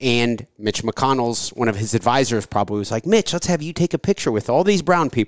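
An ordinary speaking voice from a man at a medium pitch runs at a fairly quick pace with hardly any pauses and lively intonation, on a very clean recording with a silent background and a dry, close sound with no echo. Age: 30s. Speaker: podcast host and insurance broker. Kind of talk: casual interview.

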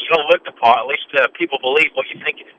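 A man talking at a very fast pace. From England. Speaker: horse racing analyst and former trainer. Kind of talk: radio interview.

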